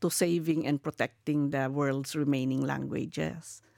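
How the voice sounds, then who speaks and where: A woman speaks with a Filipino accent at a moderate pace. The sound is dry and close, with no echo. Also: very clean recording, silent background. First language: Kankanaey. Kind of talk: interview. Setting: live podcast at UNESCO headquarters.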